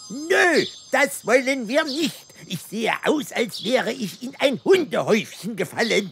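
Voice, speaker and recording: This is a cartoonish character voice with a fairly high pitch. The pace is fairly slow. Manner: complaining, cheeky.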